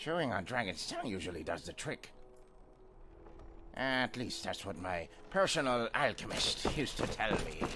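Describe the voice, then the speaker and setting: In a put-on character voice at medium pitch, a man makes very wide pitch swings at a moderate pace with long, frequent pauses over clear background noise. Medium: video game. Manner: rambling, boozy.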